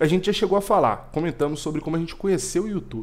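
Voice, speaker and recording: A man is speaking here. His pace is fairly quick. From Brazil. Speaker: podcast co-host. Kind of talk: casual chat. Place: home room. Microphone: headset.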